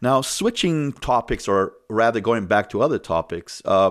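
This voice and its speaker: The recording is very clean, with a silent background. A man with a plain, everyday voice and fairly low pitch talks with lively intonation. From immigrant, came to US at thirteen. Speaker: podcast host. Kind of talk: interview.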